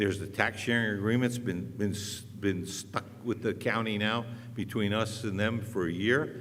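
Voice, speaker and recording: In a room with audible echo, a man with a fairly low pitch speaks at a moderate pace. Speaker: city council candidate. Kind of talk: candidate debate. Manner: loud.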